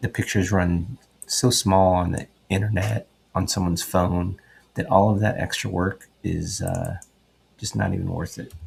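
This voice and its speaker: Quiet and somewhat breathy, a man with a very deep, low pitch speaks at a moderate pace with fairly even intonation. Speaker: sports photographer. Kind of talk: tutorial. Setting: at home at night. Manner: quiet, low voice; casual, many fillers.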